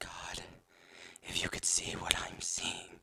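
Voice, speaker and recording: A man whispering in a shaky, put-on character voice at a fairly slow pace. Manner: whispered, shaky, frightened.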